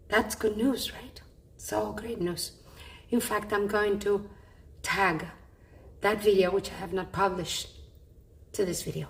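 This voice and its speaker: A woman with a medium-pitched, somewhat breathy voice speaks at a fairly slow pace in monotone, flat intonation, with long, frequent pauses and big swings in loudness. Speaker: patient vlogger. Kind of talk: personal vlog. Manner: effortful speech.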